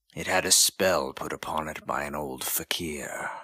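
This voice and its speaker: A man does a put-on character voice that is raspy and very deep. He speaks at a moderate pace, and the sound is dry and close, with no echo. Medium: read story.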